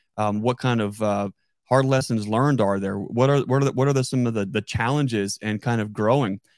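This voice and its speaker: A man with an unremarkable speaking voice at a medium pitch, a moderate pace and fairly even intonation. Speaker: podcast host and beekeeper. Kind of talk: casual interview chat. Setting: live stream online video call.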